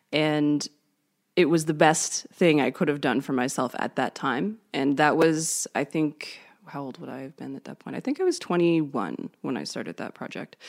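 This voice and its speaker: A woman with a Canadian accent talks at a moderate pace in a very deep, low pitch with ordinary variation and big swings in loudness. The very clean recording has a silent background and a dry, close sound with no echo. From Canada. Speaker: musician and creativity coach. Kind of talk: interview.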